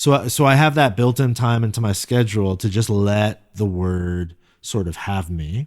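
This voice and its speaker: Lively intonation moves through fairly slow speech on a very clean recording with a silent background. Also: man. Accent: Californian. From US West Coast, Silicon Valley, California. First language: Korean. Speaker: pastor. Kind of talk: interview. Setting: podcast. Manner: casual, reflective.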